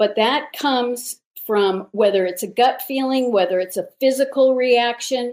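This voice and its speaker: A high-pitched woman's voice with ordinary pitch variation, in a very clean recording with a silent background. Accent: American. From Los Angeles. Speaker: guest interviewee, task force adviser and speaker. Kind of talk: interview.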